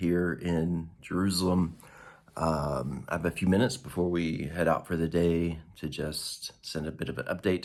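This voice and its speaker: A man with a very deep, low pitch keeps his intonation fairly even. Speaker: traveler vlogger. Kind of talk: casual video update. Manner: halting, many fillers.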